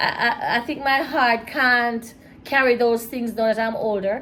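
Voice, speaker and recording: A woman's voice, high in pitch. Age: 60s. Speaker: mother of the host, married woman. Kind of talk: casual chat. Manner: soft-spoken.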